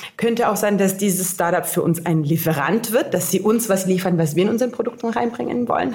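Over noticeable background noise, a woman of medium pitch talks at a very fast pace with ordinary pitch variation. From grew up internationally: Cairo, Finland (Helsinki). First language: Italian/English (German learned at 13) (speaking German). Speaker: innovation strategist. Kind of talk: casual interview. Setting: on location at hackathon.

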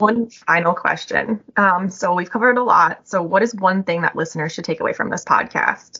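It is an unremarkable speaking voice, a woman's, at medium pitch with an American accent and ordinary pitch variation. She talks at a moderate pace with hardly any pauses. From Chicago. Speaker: corporate podcast host. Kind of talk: interview.

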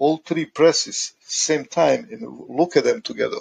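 A man talks at a fairly slow pace with a Croatian accent. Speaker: maintenance engineer. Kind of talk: interview. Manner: halting.

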